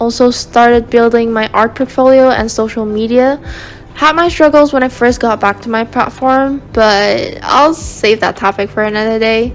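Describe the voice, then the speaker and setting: A woman talks with a fairly high pitch. Noticeable background noise is behind her. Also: fairly even intonation, moderate pace. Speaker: art youtuber. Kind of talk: scripted voiceover narration. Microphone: cracked sound quality.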